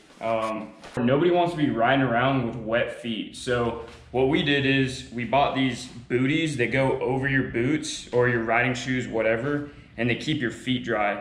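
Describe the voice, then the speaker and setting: A man talks at a moderate speed, his intonation fairly even. The room gives an audible echo. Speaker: motorcycle vlogger. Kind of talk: tutorial. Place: garage.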